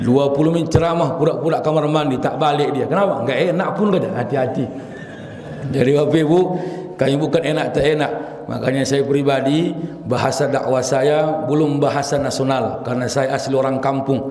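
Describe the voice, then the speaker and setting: Over noticeable background noise and audible room echo, a man with a fairly high pitch speaks at a fairly quick pace in an animated tone, keeping his loudness very even. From Riau, coastal Malay area, Indonesia. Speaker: Islamic preacher. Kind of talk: sermon. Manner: rough, blunt delivery; animated, humorous.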